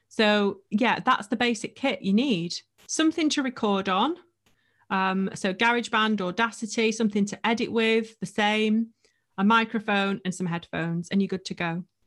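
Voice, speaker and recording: A woman speaks in a normal speaking voice, fairly high in pitch. Her pitch varies in an ordinary way, and her pace is moderate. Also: very clean recording, silent background. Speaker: podcast coach and agency owner. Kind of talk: casual interview chat.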